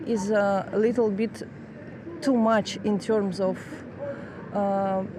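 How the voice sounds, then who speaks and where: In a Russian accent, a woman speaks very slowly at a medium pitch with very even loudness and fairly even intonation over noticeable background noise. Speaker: master's student in international law. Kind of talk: street interview. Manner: halting, many fillers.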